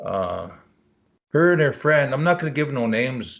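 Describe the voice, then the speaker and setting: A man's lively intonation comes through over a quiet background. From Leech Lake Indian Reservation, Northern Minnesota. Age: 60s. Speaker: cryptozoologist. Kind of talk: interview answer.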